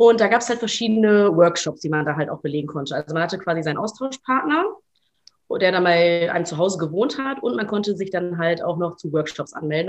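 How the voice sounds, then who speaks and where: A woman talks at a very fast pace. Her fairly low voice has lively intonation. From Germany, Ruhr area. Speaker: journalist. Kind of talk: casual interview.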